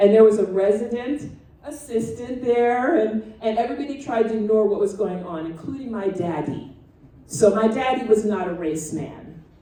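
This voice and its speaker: Over noticeable background noise and audible room echo, a woman talks at a moderate pace in a fairly high pitch with lively intonation. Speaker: retired family physician and guest speaker. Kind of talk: talk to a student audience. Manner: loud; dramatic, animated.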